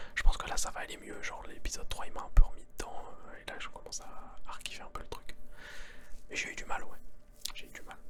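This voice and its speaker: Whispering at a very fast pace with long, frequent pauses, a man shows big swings in loudness over noticeable background noise. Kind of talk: ASMR whispered chat about series and pop culture. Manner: whispered, soft-spoken, casual.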